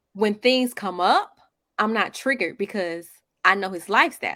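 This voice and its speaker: A woman with a Southern US accent speaks in a bright, sharp tone at medium pitch with ordinary pitch variation. The recording is very clean, with a silent background. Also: moderate pace. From North Carolina, Monroe/Wingate. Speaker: podcast co-host. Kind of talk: casual chat.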